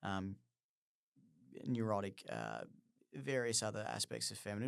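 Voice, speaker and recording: The recording is very clean, with a silent background. A man with a fairly low pitch speaks at a moderate pace with lively intonation. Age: 30s. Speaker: podcast host, play therapist. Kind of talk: solo podcast monologue. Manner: halting, many fillers and restarts.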